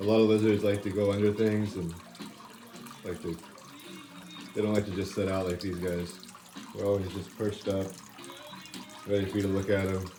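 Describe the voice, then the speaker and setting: The speech is mumbled at a fairly quick pace, broken by long, frequent pauses, with noticeable background noise. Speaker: reptile keeper and breeder. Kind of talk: casual show-and-tell video. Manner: mumbling.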